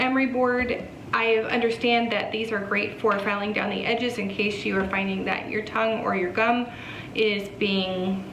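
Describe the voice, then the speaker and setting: Noticeable background noise and audible room echo surround a woman's medium-pitched voice. She speaks at a fairly slow pace with monotone, flat intonation. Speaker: vlogger. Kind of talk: casual vlog. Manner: chatty, some hesitations.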